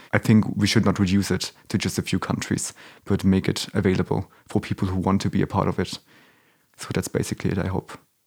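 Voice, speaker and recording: A man speaks at a fairly quick pace with a very deep, low pitch. His intonation is monotone and flat, and the sound is dry and close with no echo. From Germany. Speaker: podcaster and film publicist. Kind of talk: interview conversation.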